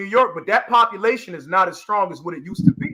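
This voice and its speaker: A man talks at a very fast pace in a raised, projected voice with a bright, sharp tone. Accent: American. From US South, South Carolina (Charleston). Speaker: panelist. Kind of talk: casual debate on live audio panel.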